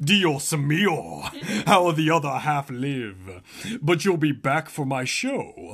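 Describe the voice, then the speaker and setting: A man's put-on character voice, fairly high-pitched, very slow, with lively intonation. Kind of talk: comic overacting. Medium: read story.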